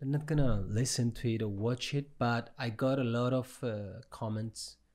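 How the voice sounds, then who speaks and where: The recording is very clean with a silent background. A man with a medium pitch speaks at a moderate pace with fairly even intonation. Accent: Cypriot. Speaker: podcast host. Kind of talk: casual chat.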